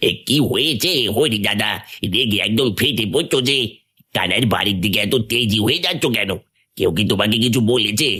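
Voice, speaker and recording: Using a cartoonish character voice, a man speaks at a medium pitch and moderate pace with ordinary pitch variation and very even loudness. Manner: deferential.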